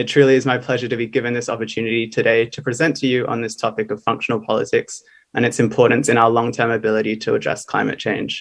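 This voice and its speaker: A man's medium-pitched voice in an Australian accent, very fast, monotone and flat, with hardly any pauses. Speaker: graduate student speaker. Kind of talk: conference presentation. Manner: formal.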